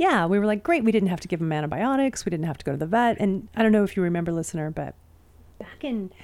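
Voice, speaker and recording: With a Pacific Northwest accent, a woman talks at a medium pitch with lively intonation. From Spokane, Washington, US. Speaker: podcast co-host, backyard chicken keeper. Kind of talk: casual chat.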